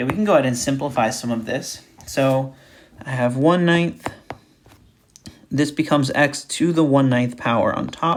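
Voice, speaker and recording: Long, frequent pauses break up the moderately paced speech. Noticeable background noise is present throughout. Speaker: math recitation instructor. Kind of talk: tutorial.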